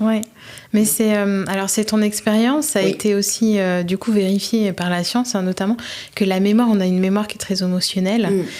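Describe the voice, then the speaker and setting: With a dark, mellow tone, a woman speaks at a fairly quick pace with fairly even intonation. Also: medium pitch for a woman. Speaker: podcast host / interviewer. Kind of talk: interview question.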